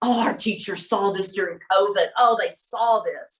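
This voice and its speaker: With an unremarkable speaking voice, a woman speaks at a fairly high pitch with ordinary pitch variation. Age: 60s. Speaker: workshop presenter. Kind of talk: workshop talk. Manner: casual, conversational.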